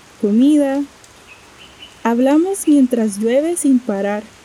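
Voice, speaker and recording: Lively intonation marks this woman's speech, heard over noticeable background noise. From Costa Rica. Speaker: storyteller sharing a personal travel story. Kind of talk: scripted narration.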